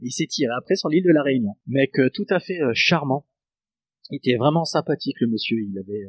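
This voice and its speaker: Speaking at a fairly quick pace, a man uses a plain, everyday voice. It sits at a fairly high pitch with lively intonation. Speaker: guitarist. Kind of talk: casual chat.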